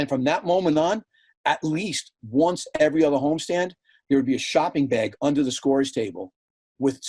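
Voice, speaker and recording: A man's ordinary speaking voice at a moderate pace, with ordinary pitch variation and a dry, close sound with no echo. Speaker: PA announcer and team vice president. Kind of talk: casual podcast interview answer, storytelling.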